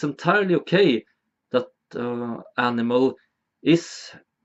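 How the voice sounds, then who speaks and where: Very wide pitch swings run through this man's speech in a Swedish accent. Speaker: video essayist. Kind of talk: educational monologue.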